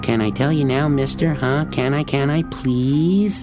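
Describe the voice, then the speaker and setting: Someone puts on a character voice at a low-to-middle pitch and a moderate pace while loud music plays in the background. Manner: pleading, mock-childish.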